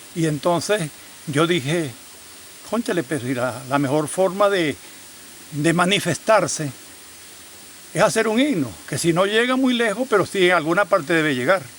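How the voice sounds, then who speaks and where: A man's high-pitched voice at a moderate pace, lively in intonation and broken by long, frequent pauses, against noticeable background noise. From Venezuela, Yaracuy state. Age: 70s. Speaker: farmer and hymn composer. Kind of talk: documentary interview testimony. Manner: halting, with repetitions.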